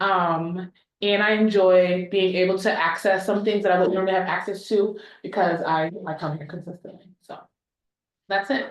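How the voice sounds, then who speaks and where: A soft-spoken woman talks at a moderate pace and medium pitch. Her intonation is fairly even, but her loudness swings widely. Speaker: teacher, meeting recording secretary. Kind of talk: short self-introduction at a meeting.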